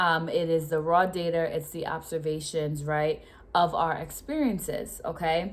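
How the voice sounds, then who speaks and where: Speaking at a fairly slow pace, a woman uses a fairly low pitch and a slight Rhode Island accent. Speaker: educator and vlogger. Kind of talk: casual talk-to-camera explainer. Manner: hesitant, many fillers and repetitions.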